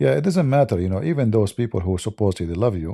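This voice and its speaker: With an Arabic accent and a dark, mellow tone, the speaker moves at a fairly quick pace through very wide pitch swings, captured dry and close with no echo. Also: man, very clean recording, silent background. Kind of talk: live stream talk.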